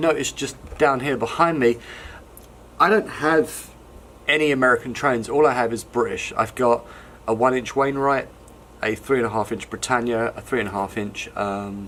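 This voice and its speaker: A man with an English accent speaks at a moderate pace, with long, frequent pauses. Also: medium pitch for a man. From London, England. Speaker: hobbyist model wagon maker. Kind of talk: casual show-and-tell video. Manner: relaxed, conversational with many ums.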